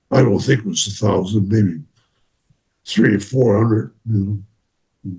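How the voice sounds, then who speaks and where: Somewhat breathy, a man talks at a fairly slow pace and fairly low pitch, with ordinary pitch variation. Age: 90s. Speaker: war veteran. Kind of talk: interview. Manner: halting.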